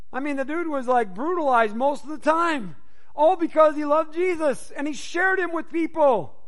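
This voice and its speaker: A man speaks loudly at a fairly quick pace in an extremely high pitch. His tone is animated. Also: ordinary pitch variation. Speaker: pastor. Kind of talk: sermon. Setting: church.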